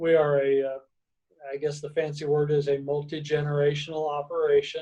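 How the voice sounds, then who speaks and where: With an American accent, a man speaks at a moderate pace in a fairly high pitch, his tone dark and mellow and his intonation flat and monotone. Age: 60s. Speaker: farmer. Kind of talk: interview. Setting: on family vacation. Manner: halting.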